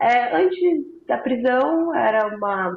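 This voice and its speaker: At a very slow pace, a woman's voice makes very wide pitch swings, with audible room echo around it. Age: 20s. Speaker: former prisoner. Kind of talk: interview testimony.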